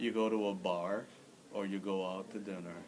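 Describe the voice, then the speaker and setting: There is audible room echo as a man talks at a very slow pace. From Philippines, Manila. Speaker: immigrant interviewee, former English teacher. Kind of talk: interview.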